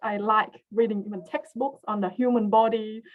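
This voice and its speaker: A woman speaks with a non-native accent at a fairly high pitch. She keeps a moderate pace. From came to Australia as a teen, grew up partly in Western Australia. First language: not English. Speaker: research scientist. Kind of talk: webinar career talk. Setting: online webinar. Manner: hesitant, many fillers.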